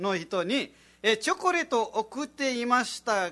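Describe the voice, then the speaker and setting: A raised, projected voice, bright and sharp in tone, with very wide pitch swings over a quiet background. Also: man. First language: Nepali (speaking Japanese). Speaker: radio host and comedian. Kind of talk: casual radio chat.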